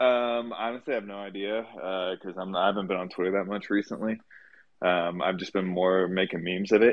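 A man with a fairly low pitch has a plain, everyday voice. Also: fairly even intonation, fairly quick pace. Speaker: NFT community member. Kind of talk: casual chat. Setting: live audio room online.

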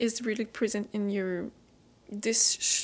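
In a French accent, a woman with a fairly high pitch speaks at a fairly slow pace. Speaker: podcast host. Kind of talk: scripted intro and interview.

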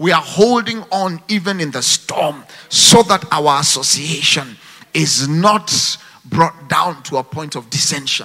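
A man's high-pitched, animated voice at a fairly slow pace, with ordinary pitch variation and noticeable background noise. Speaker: preacher. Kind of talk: sermon to a live church congregation, with call-and-response. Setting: church with congregation and online viewers. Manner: fervent, animated, rising in intensity, exhorting the crowd; rhythmic, emphatic, punchy short phrases.

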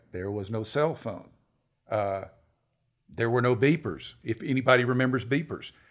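Lively intonation runs through this speech at a moderate pace. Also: man. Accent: Tennessee. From US South, Nashville, Tennessee. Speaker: office manager. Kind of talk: casual interview chat. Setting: studio.

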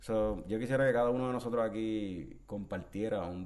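The speaker is a man with an unremarkable speaking voice. His pace is moderate and his pitch varies in an ordinary way. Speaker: podcast host. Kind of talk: casual chat.

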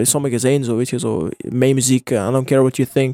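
This man has a dark, mellow tone at a medium pitch, talking at a fairly quick pace with fairly even intonation. The recording is very clean, with a silent background and a dry, close sound free of echo. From Belgium, Genk (Limburg). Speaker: music artist. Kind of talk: casual chat.

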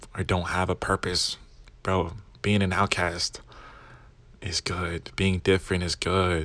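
A man with a very deep, low pitch and a bright, sharp tone talks at a fairly slow pace with long, frequent pauses. His intonation is monotone and flat, and the recording is very clean with a silent background. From Arkansas, Clarksville area, Mexican-American. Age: 20s. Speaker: podcast host. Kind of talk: motivational monologue.

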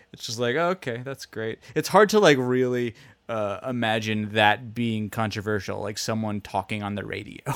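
A man speaks at medium pitch and a moderate pace with ordinary pitch variation. He has an unremarkable speaking voice. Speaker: podcast host. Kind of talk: casual comedic banter.

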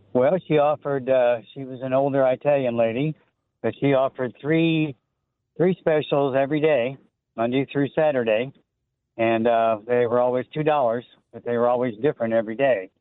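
A plain, everyday voice at a moderate pace with fairly even intonation. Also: man, medium pitch for a man. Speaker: caller. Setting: phone call.

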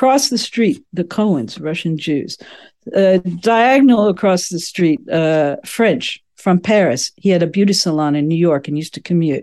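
A woman's dark, mellow voice at a moderate pace. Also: fairly low pitch for a woman, lively intonation, quiet background. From US Northeast and Texas, moved often. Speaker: combat analyst and author. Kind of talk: interview conversation. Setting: remote call.

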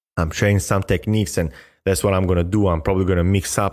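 Over a silent background in a very clean recording, a man with an Albanian accent speaks in a fairly low pitch. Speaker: podcast host, motivational speaker. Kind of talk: motivational talk.

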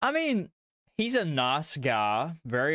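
A man talks with a Southern US accent. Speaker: podcast host. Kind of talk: casual chat podcast. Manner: casual, profane, rambling.

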